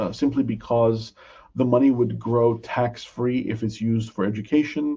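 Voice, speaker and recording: A man's dark, mellow, somewhat breathy voice over a quiet background. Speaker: financial advisor presenting a webinar. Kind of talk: educational webinar. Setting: online webinar. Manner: slow, deliberate.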